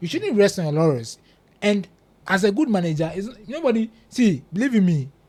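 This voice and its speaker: Animated and high-pitched, a man talks with very wide pitch swings. His pace is moderate. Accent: Ghanaian. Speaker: football pundit. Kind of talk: casual chat.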